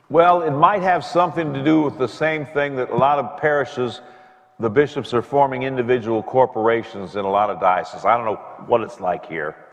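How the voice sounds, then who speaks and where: Over noticeable background noise, a man speaks fairly quickly at a medium pitch with lively intonation. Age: 70s. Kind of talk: conversation with audience Q&A. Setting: parish event with audience.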